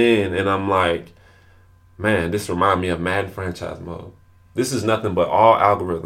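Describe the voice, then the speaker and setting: A man with a fairly low pitch, fairly even intonation and a moderate pace. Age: 20s. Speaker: podcast host and entrepreneur. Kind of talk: solo podcast monologue. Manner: repetitive, halting with frequent restarts.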